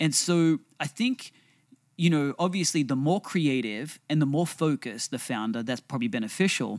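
A man's normal speaking voice, fairly high in pitch, with lively intonation at a moderate pace in a dry, close sound with no echo. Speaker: podcast co-host. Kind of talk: casual conversational podcast discussion. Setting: studio.

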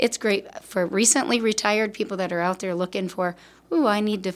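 Very clean recording, silent background: a woman with a Midwestern US accent talks at a fairly quick pace. Her pitch is medium, with ordinary pitch variation. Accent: US Midwest. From Davenport, Iowa. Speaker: hospice volunteer coordinator. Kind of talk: interview.

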